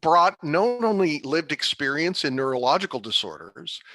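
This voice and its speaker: Against a quiet background, a man with a fairly high pitch speaks at a moderate pace in an enthusiastic, bright, sharp tone with lively intonation and a dry, close sound with no echo. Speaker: patient advisory board chair with Parkinson's. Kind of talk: presentation talk. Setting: virtual online event.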